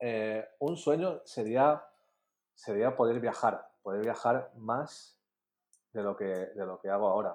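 A man's medium-pitched voice at a very slow pace, with ordinary pitch variation and a quiet background. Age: 30s. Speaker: marketing and design course creator. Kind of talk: casual interview.

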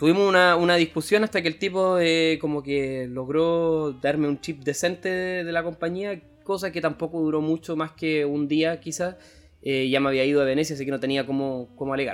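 This voice has a Chilean accent. It moves at a fairly quick pace. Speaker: travel podcast co-host. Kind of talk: casual chat.

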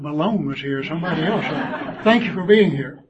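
Here a man speaks with a Southern US accent in a high pitch. His tone is warm, with ordinary pitch variation. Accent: South Georgia, Southern US. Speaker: church class lesson leader, speaker. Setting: church classroom, addressing a group. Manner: folksy, self-deprecating, warm.

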